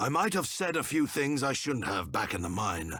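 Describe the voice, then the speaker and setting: A man puts on a raspy, solemn character voice at medium pitch, keeping his loudness very even while his pitch swings very widely at a moderate pace. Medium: video game. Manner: formal, solemn.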